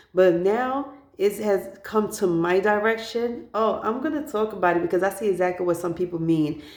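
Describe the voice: At a moderate pace, a woman speaks with medium pitch, ordinary pitch variation and a slightly mellow tone.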